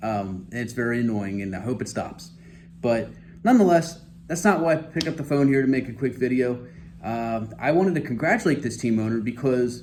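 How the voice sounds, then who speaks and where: Amid audible room echo, a man of medium pitch speaks at a fairly quick pace with lively intonation and vocal fry. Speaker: fantasy football commentator. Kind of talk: casual monologue video. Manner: halting, stammering.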